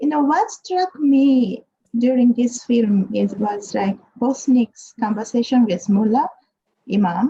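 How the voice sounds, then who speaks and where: A woman with a Japanese accent speaks at a high pitch and fairly slow pace, with ordinary pitch variation and very even loudness. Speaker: panelist. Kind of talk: panel discussion. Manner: halting.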